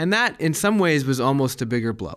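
A man with a General American accent at a moderate pace, a plain, everyday voice. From Colorado, US. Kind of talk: interview.

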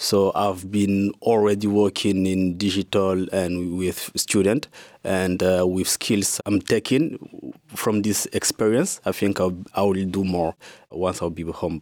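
Over a very clean recording with a silent background, a man speaks with a very deep, low pitch. His pace is fairly slow and his intonation fairly even. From Kinshasa, DR Congo. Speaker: digital marketing professional. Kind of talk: panel discussion.

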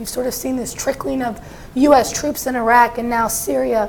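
With noticeable background noise behind her, a woman talks at a moderate pace in a high pitch with monotone, flat intonation. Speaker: national security correspondent. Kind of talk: panel discussion.

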